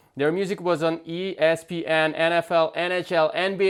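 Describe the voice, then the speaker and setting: A man with a non-native accent and a high-pitched voice. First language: not English. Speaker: podcast host, music producer. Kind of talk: podcast interview.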